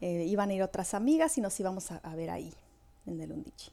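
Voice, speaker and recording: A woman speaks with lively intonation. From northwestern Mexico, Hermosillo, later Morelia. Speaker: Mexican immigrant. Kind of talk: casual interview.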